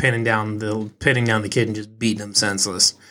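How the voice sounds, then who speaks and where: A man speaks at a moderate pace with a Midwestern American accent, his medium-pitched voice bright and sharp. The recording is very clean, with a silent background. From Eastern Iowa. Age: 20s. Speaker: sports podcast host. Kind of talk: solo podcast reaction. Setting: home office studio. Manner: casual, halting with fillers.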